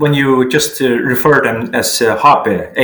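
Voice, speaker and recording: A man with a Faroese accent at a very slow pace, against noticeable background noise. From Faroe Islands. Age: 40s. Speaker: sports journalist. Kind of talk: interview. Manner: halting.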